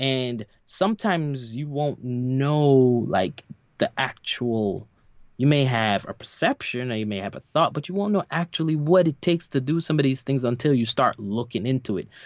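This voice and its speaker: A man's unremarkable speaking voice with an American accent, medium in pitch, lively in intonation and moderate in pace. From New York. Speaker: podcast co-host. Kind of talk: casual chat.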